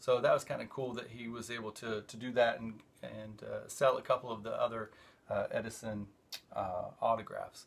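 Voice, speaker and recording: Moderate pace from a man. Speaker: show host. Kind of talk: casual vlog chat. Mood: relaxed, enthusiastic. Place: home room. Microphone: phone near.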